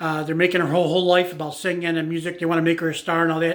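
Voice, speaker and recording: A man's high-pitched voice in a very clean recording with a silent background. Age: 60s. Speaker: YouTuber / music commentator. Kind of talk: casual monologue. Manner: halting, many fillers.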